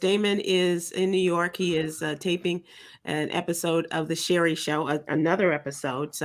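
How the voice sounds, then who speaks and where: At a moderate pace, a woman speaks in a fairly low pitch on a very clean recording with a silent background. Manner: calm, even, composed.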